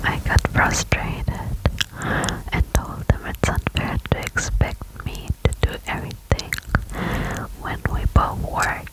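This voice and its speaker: A woman's very slow whispering with long, frequent pauses over noticeable background noise. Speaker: ASMR creator. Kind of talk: ASMR reddit story reading. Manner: whispered, soft.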